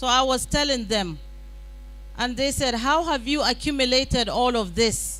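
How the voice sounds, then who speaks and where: A woman talks at a moderate pace with a high pitch and fairly even intonation. Music plays in the background, and room echo is audible. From Nigeria, Katsina. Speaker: summit speaker, women's advocate. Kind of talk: conference speech.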